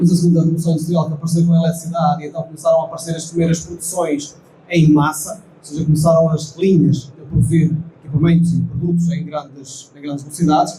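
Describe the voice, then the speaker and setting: Speaking in a fairly high pitch with a monotone, flat intonation, a man is heard with audible room echo and noticeable background noise. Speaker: company engineering director. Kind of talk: conference presentation.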